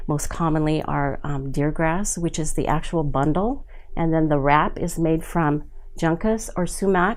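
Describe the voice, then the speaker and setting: A woman's fairly low voice in an American accent, fairly slow, with ordinary pitch variation and audible room echo. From Southern California, San Juan Capistrano. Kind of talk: oral history interview. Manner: halting, many fillers.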